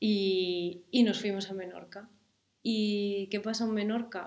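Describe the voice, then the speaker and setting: The pace is very slow. The intonation stays monotone and flat. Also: woman. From Galicia, Spain (coastal village). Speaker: musician and mother. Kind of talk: casual interview.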